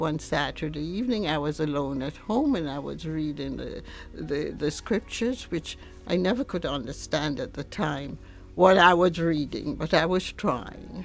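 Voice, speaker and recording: Over music in the background, a woman with a very deep, low pitch speaks at a moderate pace with lively intonation. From Jamaica. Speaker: churchgoer. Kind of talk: testimony. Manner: halting.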